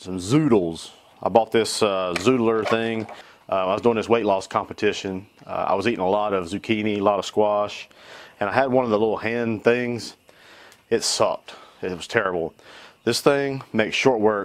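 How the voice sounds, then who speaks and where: A man talks in a normal speaking voice at a moderate pace. His pitch sits fairly low. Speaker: home cook video host. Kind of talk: casual cooking tutorial. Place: garden.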